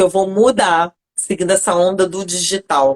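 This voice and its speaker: A woman is speaking. The recording sounds dry and close, with no echo. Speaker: lawyer and consultant for health professionals. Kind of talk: live online interview. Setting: online live stream.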